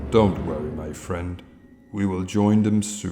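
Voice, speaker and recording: Putting on a character voice, a man talks at a fairly slow pace in a very deep, low pitch. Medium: audio drama. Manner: calm, soft-spoken, persuasive.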